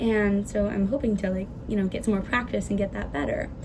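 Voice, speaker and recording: A woman talks fairly quickly, her pitch varying in an ordinary way, with audible room echo and noticeable background noise. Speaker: student giving a class presentation. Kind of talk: class presentation. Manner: fast.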